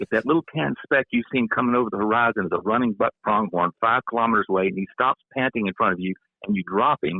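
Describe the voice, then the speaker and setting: A man talks at a very fast pace with medium pitch. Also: ordinary pitch variation. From US South, Louisiana. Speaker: retired professor and hunter. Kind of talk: casual podcast discussion.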